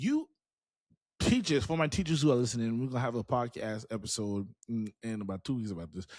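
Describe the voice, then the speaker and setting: An animated male voice with very wide pitch swings. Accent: American. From South Carolina, Charleston. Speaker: podcast host and teacher. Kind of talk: motivational podcast monologue. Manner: animated, conversational with repetitions.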